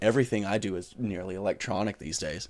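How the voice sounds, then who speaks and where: An ordinary speaking voice belongs to a man with an American accent and a fairly low pitch. He talks at a fairly quick pace on a very clean recording with a silent background. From US South, northern South Carolina. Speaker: podcast co-host, pilot and educator. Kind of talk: casual chat.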